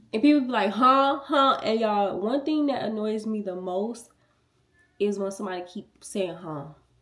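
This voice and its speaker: Audible room echo surrounds a woman whose fairly high voice moves with lively intonation. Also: moderate pace. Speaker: beauty youtuber. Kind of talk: tutorial. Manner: soft-spoken; casual.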